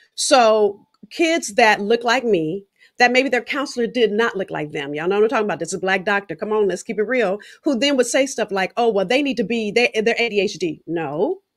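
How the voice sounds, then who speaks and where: A woman with fairly high pitch speaks at a fairly quick pace with lively intonation and an animated tone, on a very clean recording with a silent background. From South Central Los Angeles. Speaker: podcast host, speaker. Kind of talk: interview conversation.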